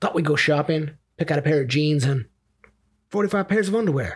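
The man's voice is fairly high, with ordinary pitch variation, and he speaks at a moderate pace. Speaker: podcast co-host. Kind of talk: casual comedy podcast banter.

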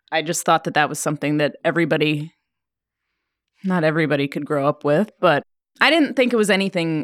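At a fairly quick pace, a woman with a very deep, low pitch speaks with lively intonation in a dry, close sound with no echo. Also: very clean recording, silent background. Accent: American. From Oregon, US. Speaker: winemaker. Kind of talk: casual chat. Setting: studio.

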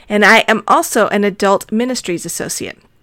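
Here is a woman with an ordinary speaking voice and an American accent. Her medium pitch and fairly even intonation move at a moderate pace. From Arizona. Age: middle-aged. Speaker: podcast host. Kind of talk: solo podcast monologue.

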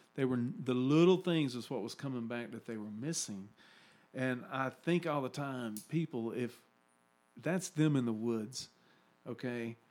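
Medium pitch from a man at a fairly slow pace, with ordinary pitch variation. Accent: Southern US. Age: 50s. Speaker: podcast host. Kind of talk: casual chat. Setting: studio.

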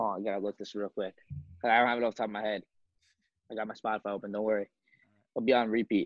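In an American accent, a man speaks at a very fast pace with long, frequent pauses. His pitch is fairly low and his intonation monotone and flat. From Long Island, New York. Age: 20s. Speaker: apparel brand founder. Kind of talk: casual chat.

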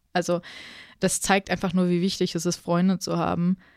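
The speaker is a woman. Her pitch is fairly low. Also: dry, close sound with no echo. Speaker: podcast host. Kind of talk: casual chat.

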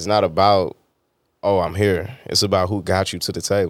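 Fairly low in pitch, a man talks at a fairly quick pace in a relaxed tone. The recording is very clean, with a silent background. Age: 30s. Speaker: podcast host. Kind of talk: casual interview chat. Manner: relaxed, conversational.

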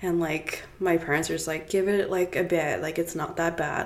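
Over noticeable background noise, a woman with a fairly low pitch talks at a fairly quick pace in a monotone, flat intonation. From South Africa, Cape Town; later Toronto. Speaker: author and brand ambassador. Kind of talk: casual interview chat.

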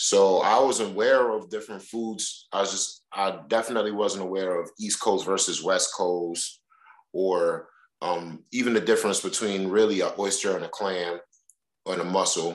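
With a New York accent, a man of fairly low pitch talks at a moderate pace with fairly even intonation. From New York, Brooklyn (Crown Heights). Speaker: oyster shucker. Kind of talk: casual chat.

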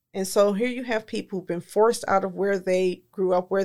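With an American accent, a woman speaks in an unremarkable speaking voice, medium-pitched with fairly even intonation, in a very clean recording with a silent background. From Detroit, Michigan, US. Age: 50s. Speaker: community nonprofit leader. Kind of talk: history lesson in podcast discussion.

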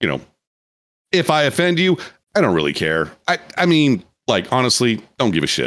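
Speaking at a moderate pace with an American accent, a man at a medium pitch makes very wide pitch swings, keeps his loudness very even and leaves long, frequent pauses. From US Midwest. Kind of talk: casual chat. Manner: animated.

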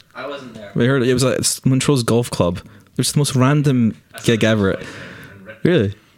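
A man at medium pitch speaks with long, frequent pauses and big swings in loudness. Noticeable background noise runs underneath. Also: ordinary pitch variation, moderate pace. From Scotland, Aberdeen. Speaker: film camera trainee. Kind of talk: casual chat.

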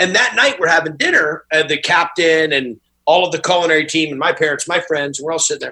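A man talks at a very fast pace in a high, bright, sharp voice. His pitch varies in an ordinary way. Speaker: restaurant owner. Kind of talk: casual chat.

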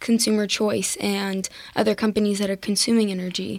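Speaking at a moderate pace, a woman holds a medium pitch in a monotone, flat intonation. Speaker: student co-host. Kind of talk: interview. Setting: studio.

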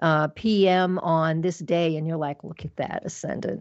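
Speaking at a moderate speed, a woman uses a rather low pitch. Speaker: astrologer. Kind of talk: casual chat. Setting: radio show. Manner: loud; animated.

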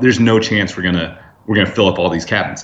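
A man with a General American accent has an ordinary speaking voice. His fairly low pitch shows ordinary pitch variation at a fairly quick pace. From Northern California. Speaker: casino loyalty business founder, former casino host. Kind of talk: interview. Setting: phone call.

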